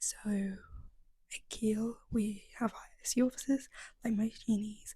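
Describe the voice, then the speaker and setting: Whispering in an English accent, a woman sounds somewhat breathy. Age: 20s. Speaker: university student and vlogger. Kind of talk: casual vlog narration. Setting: library study room. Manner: whispering in the library.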